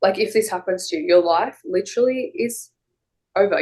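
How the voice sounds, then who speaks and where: A woman with an Australian accent speaks at a moderate pace in a fairly high pitch. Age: 20s. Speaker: interviewee with drug side-effect condition. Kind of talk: interview. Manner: halting, many repetitions and fillers.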